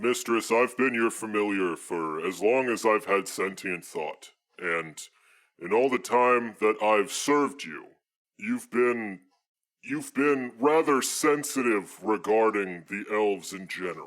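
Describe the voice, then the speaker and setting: In a put-on character voice, a man talks at a fairly slow pace with a medium pitch. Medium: actual play. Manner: earnest, formal, addresses her as mistress.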